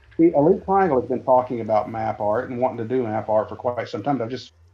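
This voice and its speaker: This man talks at a fairly quick pace with an American accent. His pitch sits in the medium range. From Texas, Dallas-Fort Worth. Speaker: gaming streamer. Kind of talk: casual chat, game tour.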